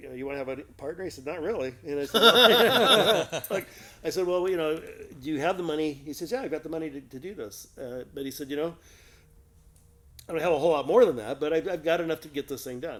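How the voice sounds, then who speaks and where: Over noticeable background noise, a man with an American accent talks very fast at a fairly high pitch, with lively intonation and big swings in loudness. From Southern California. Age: 60s. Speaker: music store co-owner. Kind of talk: casual chat. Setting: in a guitar shop.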